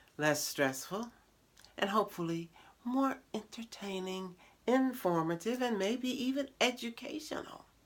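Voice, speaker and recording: The speaker uses a playful tone with very wide pitch swings at a moderate pace. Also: woman. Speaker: show host. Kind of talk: casual talk to camera. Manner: playful, humorous.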